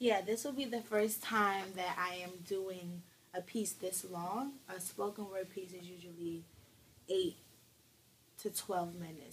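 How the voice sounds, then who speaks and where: Light background noise sits behind a woman whose somewhat breathy voice shows ordinary pitch variation. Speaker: ministry intern and spoken word artist. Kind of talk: interview answer. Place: home room. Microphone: camera far.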